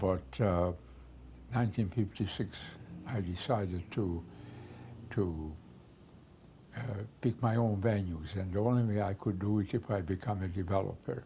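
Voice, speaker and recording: The speaker has a dark, mellow tone, is somewhat breathy, and talks at a moderate pace with ordinary pitch variation and long, frequent pauses. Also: man. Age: 80s+. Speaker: real estate developer. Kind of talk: interview monologue. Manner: halting, many fillers.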